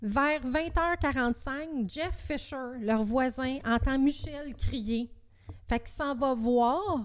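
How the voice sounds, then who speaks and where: A woman with a Quebec accent speaks in a raised, projected voice at a very slow pace, high in pitch with ordinary pitch variation. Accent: Québécois French. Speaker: podcast co-host. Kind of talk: storytelling.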